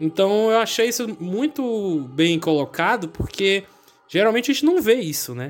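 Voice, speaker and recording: Music plays in the background while a man with very wide pitch swings talks at a moderate pace. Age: 20s. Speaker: podcast host. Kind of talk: casual chat.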